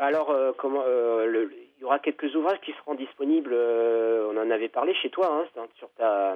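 Speaking at a very slow pace, a man uses a medium pitch with ordinary pitch variation and big swings in loudness. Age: 40s. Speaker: author. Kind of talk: interview. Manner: halting.

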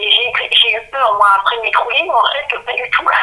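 A woman speaks at a very slow pace. Noticeable background noise runs under her voice. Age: 50s. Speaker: author. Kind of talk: interview. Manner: halting.

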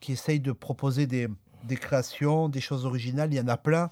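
Fairly high for a man, his voice carries a dark, mellow tone. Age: 40s. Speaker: jazz accordionist. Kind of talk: radio interview.

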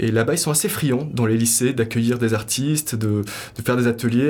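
A man at a medium pitch and fairly quick pace, with ordinary pitch variation. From Morocco. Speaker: sculptor and artist. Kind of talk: interview. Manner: hesitant, many fillers.

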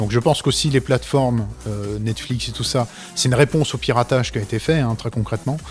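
With music in the background, the speech runs at a very fast pace with ordinary pitch variation. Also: man, medium pitch for a man. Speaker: comic book author. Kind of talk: casual chat. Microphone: too far from mic at first.

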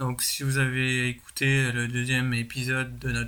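Medium in pitch and monotone, flat in intonation, a man's voice moves at a very slow pace. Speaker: podcast segment presenter. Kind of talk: pre-recorded segment. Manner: hesitant with many ums.

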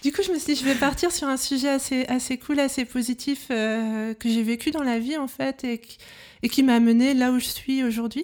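Her pace moderate, a woman speaks at a high pitch with fairly even intonation. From Brittany, France. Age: 30s. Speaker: illustrator. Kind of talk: casual interview.

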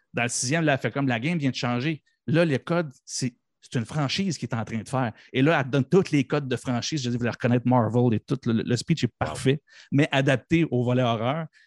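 On a very clean, dry and close recording with a silent background and no echo, a man with a normal speaking voice talks fairly quickly at medium pitch with ordinary variation. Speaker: podcast guest, pop culture fan. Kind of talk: casual chat.

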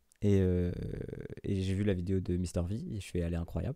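This man's voice sits very deep and low, with a dark, mellow tone. His intonation stays fairly even. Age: 20s. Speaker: YouTube musician. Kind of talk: casual interview.

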